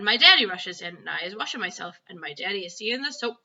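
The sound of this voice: The voice is an unforced reading voice. Its intonation stays lively.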